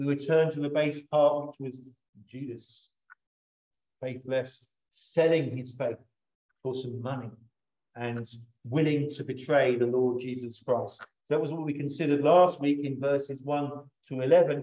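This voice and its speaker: Against a quiet background, a man speaks in a monotone, flat intonation broken by long, frequent pauses. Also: moderate pace. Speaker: pastor. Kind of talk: sermon. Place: church.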